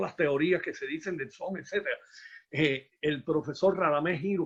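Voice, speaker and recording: A man speaks at a fairly slow pace in a high voice, with a Cuban accent. His pitch varies in an ordinary way. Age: 60s. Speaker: musician and former teacher. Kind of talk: conference talk, casual exchange. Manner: halting.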